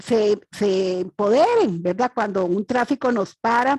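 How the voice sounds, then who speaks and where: A woman with a Costa Rican accent speaks at a fairly slow pace in a dark, mellow tone, with a dry, close sound and no echo. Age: 60s. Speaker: audience member asking a question. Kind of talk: Q&A question at a webinar. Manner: halting, many fillers.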